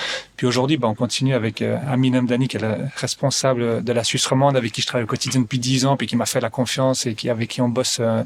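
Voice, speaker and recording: A man with a slight Belgian accent speaks very fast at a medium pitch, hardly pausing at all. His intonation is monotone and flat, and there is noticeable background noise. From Belgium. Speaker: real estate investment advisor. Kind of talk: podcast interview. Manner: hesitant, many fillers and repetitions.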